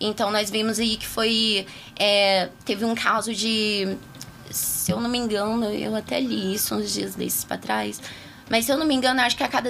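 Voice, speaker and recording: Spoken at a moderate pace with ordinary pitch variation, this clip carries noticeable background noise. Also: woman. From Taguatinga, Federal District, Brazil. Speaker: political candidate. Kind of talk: interview. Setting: radio studio.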